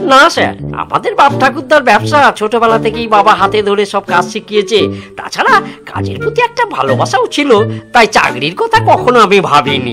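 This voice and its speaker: A man's cartoonish character voice, high-pitched and raised and projected, at a moderate pace over clear music in the background. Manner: humble, eager, respectful.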